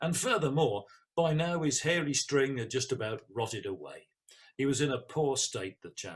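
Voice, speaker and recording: A fairly high-pitched man at a moderate pace, somewhat breathy. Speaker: storyteller. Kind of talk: oral folk-tale storytelling to an audience.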